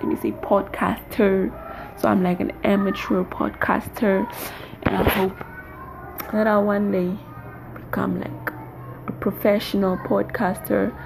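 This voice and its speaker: Pausing long and often, a woman talks at a fairly slow pace over noticeable background noise. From Namibia. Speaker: amateur podcaster, university student. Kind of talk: casual monologue. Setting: bedroom.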